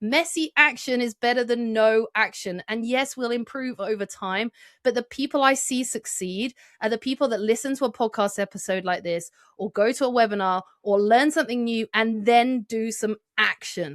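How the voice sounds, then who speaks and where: In a British accent, a woman speaks at a moderate pace in an animated tone, her fairly high voice showing ordinary pitch variation, with dry, close sound, no echo, and a very clean recording over a silent background. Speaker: marketing consultant and author. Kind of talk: podcast interview.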